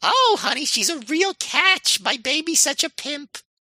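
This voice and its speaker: In a put-on character voice pitched high, the speaker goes at a moderate pace. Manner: doting, bragging.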